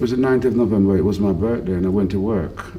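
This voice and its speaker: Audible room echo surrounds a man who speaks at a fairly quick pace, his fairly low pitch showing ordinary variation. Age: 60s. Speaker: football club volunteer groundsman and team manager. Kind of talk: interview.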